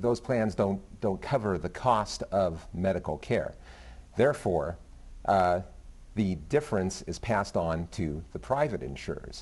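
A man with a fairly low voice speaks at a fairly slow pace with lively intonation. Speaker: business reporter. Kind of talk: TV panel discussion. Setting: TV studio. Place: studio. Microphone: lapel.

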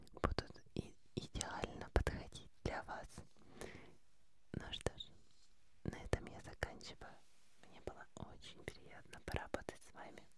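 Over loud background noise, a soft-spoken woman talks at a fairly slow pace with long, frequent pauses, and the sound is dry with no echo. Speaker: ASMR creator playing a doctor. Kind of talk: soft-spoken roleplay. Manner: soft close-mic ASMR murmur. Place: studio. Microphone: studio mic.

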